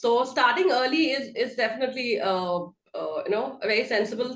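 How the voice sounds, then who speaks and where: With lively intonation, a plain, everyday voice keeps a moderate pace. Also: woman. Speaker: entrepreneur and podcast host. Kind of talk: interview host talk.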